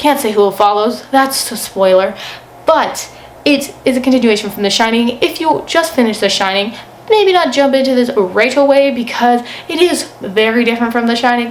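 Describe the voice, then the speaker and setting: A woman speaks at a high pitch. Audible room echo and noticeable background noise surround her voice. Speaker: book video creator. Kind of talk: casual monologue book review. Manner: fast.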